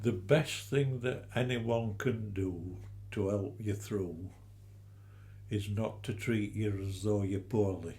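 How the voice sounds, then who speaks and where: In audible room echo, a man speaks very slowly in a somewhat breathy voice with a dark, mellow tone and fairly even intonation. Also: fairly low pitch for a man. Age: 80s+. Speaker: retired angler living with cancer. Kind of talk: interview.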